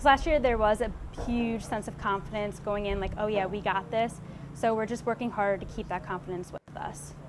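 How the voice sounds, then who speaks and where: Woman with an unremarkable speaking voice, fairly high pitch and ordinary pitch variation. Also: fairly quick pace. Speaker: college cross country runner. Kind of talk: interview answers.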